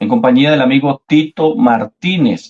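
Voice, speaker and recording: A man with an ordinary speaking voice, fairly high pitched, with ordinary pitch variation and a fairly slow pace. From Colombia. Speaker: debater, Oneness apologist. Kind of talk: debate.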